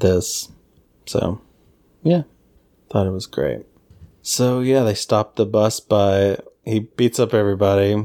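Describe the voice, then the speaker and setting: A man with an American accent speaks in a playful tone at a fairly slow pace, with long, frequent pauses. His voice is fairly low, dark and mellow, with ordinary pitch variation. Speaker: podcast host. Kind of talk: casual chat. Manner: joking, playful.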